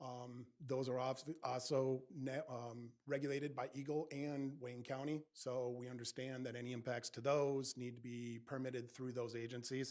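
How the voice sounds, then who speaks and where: A man speaks at a moderate pace and medium pitch, flat and monotone, with hardly any pauses. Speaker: engineering consultant presenting a project. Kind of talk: public meeting presentation. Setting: township planning commission meeting. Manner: loud.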